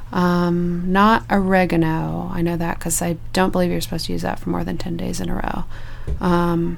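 The speech comes at a moderate pace, with noticeable background noise and audible room echo. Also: woman. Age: 30s. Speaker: panelist mom. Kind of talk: casual chat. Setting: studio.

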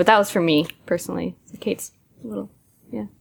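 This woman has an American accent. She speaks at a fairly quick pace. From Massachusetts. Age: 20s. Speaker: startup co-founder. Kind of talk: interview.

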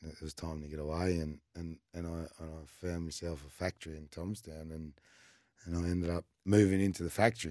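In an Australian accent, a man with a very deep, low pitch and a dark, mellow tone talks at a fairly quick pace. His intonation is fairly even, though his loudness swings widely. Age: 30s. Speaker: guest sharing life story. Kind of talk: personal testimony. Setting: studio.

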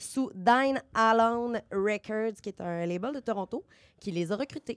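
Over a silent background in a very clean recording, a woman speaks at a fairly slow pace with medium pitch and ordinary variation, the sound dry and close with no echo. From Beauce, Quebec. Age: young. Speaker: media worker, music columnist. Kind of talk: casual chat.

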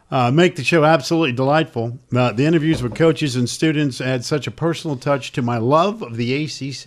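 A plain, everyday voice from a man with fairly high pitch, ordinary pitch variation, a fairly quick pace, and hardly any pauses. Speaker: sports radio host. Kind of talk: casual sports talk show banter. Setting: studio, streamed show.

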